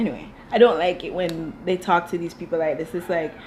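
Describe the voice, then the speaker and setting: A woman with a Jamaican accent speaks in an animated tone at a medium pitch. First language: Dutch. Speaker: TV show reviewer. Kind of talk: casual commentary.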